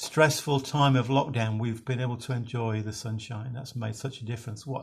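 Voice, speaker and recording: A man speaks at a moderate pace in a somewhat breathy voice, with medium pitch and fairly even intonation. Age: 60s. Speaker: minister. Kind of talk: devotional talk. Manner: halting.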